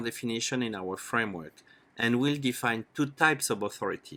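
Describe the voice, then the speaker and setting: A man speaks with a French accent at a fairly quick pace and a medium pitch. The recording is very clean, with a silent background. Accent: French accent, still noticeable. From France. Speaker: startup educator. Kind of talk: lecture. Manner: formal.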